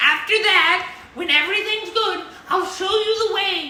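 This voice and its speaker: In a put-on character voice of extremely high pitch, the speaker goes at a moderate pace with slight echo. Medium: actual play.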